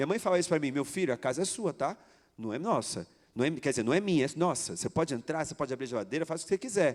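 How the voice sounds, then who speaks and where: A man speaks at a very fast pace with fairly high pitch and lively intonation. The recording is very clean, with a silent background. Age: 40s. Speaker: pastor, youth ministry coordinator. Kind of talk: sermon.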